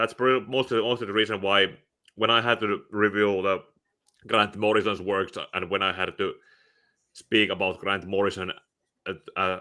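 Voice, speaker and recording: A man with a Finnish accent at a moderate pace, with a fairly low pitch, monotone, flat intonation and long, frequent pauses. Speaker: comic book reviewer. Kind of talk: casual chat. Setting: live stream. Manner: halting.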